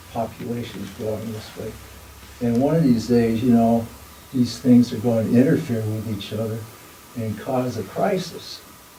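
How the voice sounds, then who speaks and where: Noticeable background noise and audible room echo fill the recording. A man speaks at a moderate pace in a medium pitch. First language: not English. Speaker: dialogue circle participant. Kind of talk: group dialogue sharing. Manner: halting.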